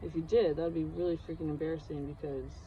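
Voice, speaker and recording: Audible room echo surrounds a woman speaking at a very fast pace. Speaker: hobbyist video creator. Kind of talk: casual tutorial vlog. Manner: rambling, hesitant with many fillers.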